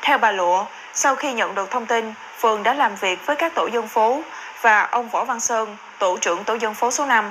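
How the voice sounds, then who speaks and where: This is an unremarkable speaking voice with ordinary pitch variation. The pace is moderate. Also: woman, fairly high pitch for a woman. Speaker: news presenter. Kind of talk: news reading. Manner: formal.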